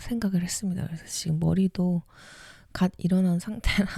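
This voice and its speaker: Calm and gentle in tone, a woman speaks somewhat breathily with a dark, mellow tone, fairly low pitch and ordinary pitch variation. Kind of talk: casual talk to the audience before reading. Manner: calm, soft, gentle.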